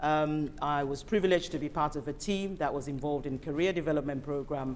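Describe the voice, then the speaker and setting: The speaker has an African accent and ordinary pitch variation. Audible room echo surrounds the voice. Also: woman. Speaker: invited speaker, healthcare professional. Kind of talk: panel presentation. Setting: event hall with audience and online stream. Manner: formal.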